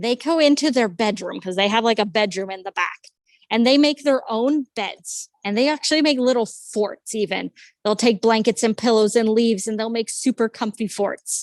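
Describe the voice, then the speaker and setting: A woman with a fairly high pitch, ordinary pitch variation and a moderate pace. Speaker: zoo educator. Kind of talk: virtual tour for children. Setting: video call. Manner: animated.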